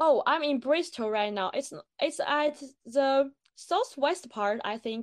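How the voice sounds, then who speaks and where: A woman speaks at a very slow pace. Her high voice has lively intonation. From China. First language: Chinese. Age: 20s. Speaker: postgraduate student. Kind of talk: casual interview. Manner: halting, with fillers and self-corrections.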